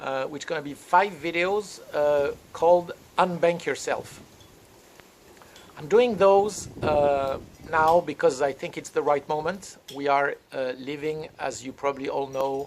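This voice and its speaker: Speaking at a fairly slow pace with a French accent, this voice has ordinary pitch variation and big swings in loudness. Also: man, fairly high pitch for a man. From France. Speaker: crypto consultant and trainer. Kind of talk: lecture-style training session. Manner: halting, many fillers.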